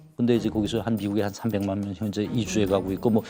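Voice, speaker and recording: Fairly quick speech from a man over background music. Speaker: defector, former diplomat. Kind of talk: TV talk show interview.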